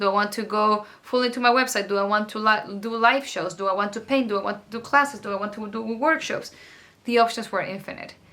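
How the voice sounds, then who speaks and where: Someone with a strong non-native accent speaks at a very fast pace with fairly even intonation over noticeable background noise. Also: woman. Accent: thick foreign accent in English. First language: not English. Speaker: artist and art mentor. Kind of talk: casual vlog talk to camera. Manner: rambling with many fillers.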